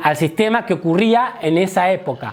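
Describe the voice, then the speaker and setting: A man speaks with a high voice. Music plays in the background. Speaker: comedy teacher. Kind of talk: lecture. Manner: fast.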